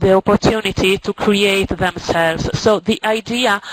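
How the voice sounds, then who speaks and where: A woman speaks with a non-native accent at medium pitch and with fairly even intonation. The sound is dry and close with no echo, though noticeable background noise comes through. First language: Italian or Spanish. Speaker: teacher. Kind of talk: presentation. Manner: halting.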